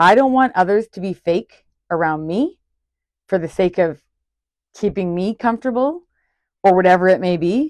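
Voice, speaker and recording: A woman's medium-pitched voice with lively intonation and a moderate pace, broken by long, frequent pauses, in a dry, close sound with no echo and a quiet background. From Ontario, Canada. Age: 40s. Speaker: podcast host, entrepreneur. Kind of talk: solo podcast monologue, casual and personal. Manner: loud, energetic, straight-talking.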